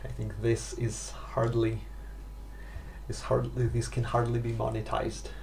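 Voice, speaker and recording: Audible room echo surrounds this man. He speaks at a fairly slow pace. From Russia. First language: Russian. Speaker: pipe smoking vlogger. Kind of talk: casual vlog monologue. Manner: halting, stumbling for words.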